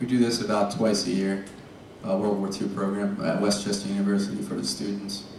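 The pace is fairly quick and the intonation fairly even. Audible room echo and light background noise are present. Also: man, fairly low pitch for a man. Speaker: lecture series organizer. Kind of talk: event announcements. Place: hall. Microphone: camera far.

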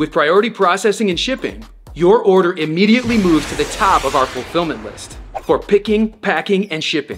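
With music in the background, a man talks at a fairly quick pace in a high voice with ordinary pitch variation. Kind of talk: promotional explainer. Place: studio.

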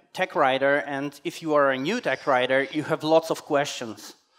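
Moderately paced male speech over a quiet background. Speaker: conference speaker. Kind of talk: conference talk. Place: hall.

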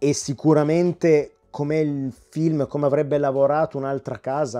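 A man with a dark, mellow tone speaks at a very slow pace. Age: 40s. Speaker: YouTube film and home video reviewer. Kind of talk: video review monologue. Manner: animated.

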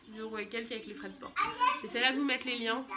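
Noticeable background noise is present. Pitch moves with ordinary variation. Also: woman. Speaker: vlogger and mother; vlogger. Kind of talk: casual vlog haul. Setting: at home. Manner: chatty, hesitant with many euh. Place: home room. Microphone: phone near.

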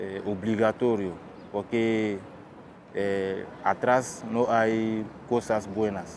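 Very slow speech with long, frequent pauses and monotone, flat intonation, in a dry sound with no echo over light background noise. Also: man, fairly low pitch for a man. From Guinea. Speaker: refugee. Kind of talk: testimony. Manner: halting, many fillers and repetitions. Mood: serious, reflective. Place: waterside.

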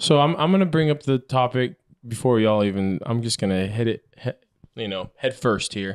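Over a quiet background, a man speaks at a moderate pace with lively intonation. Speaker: podcast co-host. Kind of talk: casual chat. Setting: studio with a live audience. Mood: playful, joking. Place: home room. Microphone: handheld.

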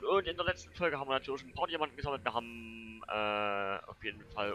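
A man with a Saxon accent, a bright, sharp tone and very wide pitch swings. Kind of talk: casual gameplay commentary.

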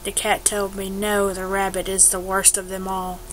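Speaking at a fairly slow pace, a woman is heard with noticeable background noise. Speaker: let's play gamer. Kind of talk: casual gameplay commentary.

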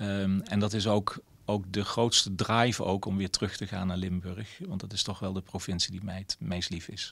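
Speaking at a moderate pace with hardly any pauses, a man uses a fairly low voice in a flat monotone. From Netherlands, several provinces. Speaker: mayor. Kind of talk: interview. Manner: hesitant, many filler sounds. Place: office. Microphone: handheld.

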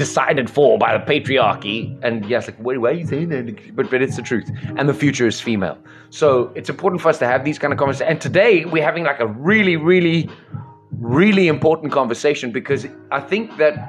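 The pace is fairly quick. Faint music plays in the background. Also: man. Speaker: live stream host. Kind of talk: passionate monologue to viewers. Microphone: studio mic.

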